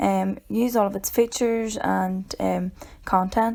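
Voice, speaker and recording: In a Northern Irish accent, a woman speaks at a moderate pace with a medium pitch. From Northern Ireland. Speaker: educator. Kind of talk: tutorial. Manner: halting, many filler ums.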